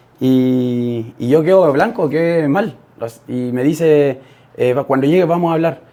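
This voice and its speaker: The man has a fairly high pitch. He talks at a fairly slow pace with ordinary pitch variation. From Chile. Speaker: podcast guest, young father. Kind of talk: interview testimony. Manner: halting, many fillers.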